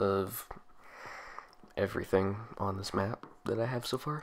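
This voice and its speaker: A man's fairly low voice at a very slow pace. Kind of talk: casual game walkthrough narration. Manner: casual, hesitant with fillers.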